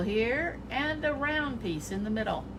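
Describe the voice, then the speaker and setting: Lively intonation marks this woman's speech, heard with audible room echo and noticeable background noise. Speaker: art teacher. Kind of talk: children's drawing tutorial. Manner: animated.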